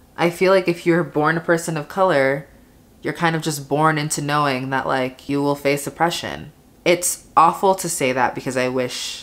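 Her pitch is very deep and low, and this woman speaks at a moderate pace with ordinary pitch variation. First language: Spanish. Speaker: beauty and lifestyle vlogger. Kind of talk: casual monologue while doing makeup. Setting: home, alone, talking to camera. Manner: casual, chatty. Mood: thoughtful, candid. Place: home room. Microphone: phone near.

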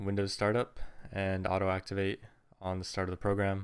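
Against a quiet background, a man speaks at a moderate pace. His fairly low pitch carries a monotone, flat intonation. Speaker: tutorial maker. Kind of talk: tutorial. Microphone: studio mic.

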